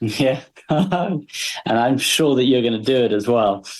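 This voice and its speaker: At a fairly slow pace, a man speaks in an unremarkable speaking voice, medium in pitch and with ordinary pitch variation. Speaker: podcast host. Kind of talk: interview questions.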